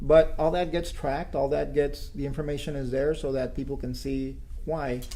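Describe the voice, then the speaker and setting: A man's fairly high, dark, mellow voice with an American accent and monotone, flat intonation, with audible room echo. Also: moderate pace. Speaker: city manager. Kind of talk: interview. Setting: city hall. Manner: quiet.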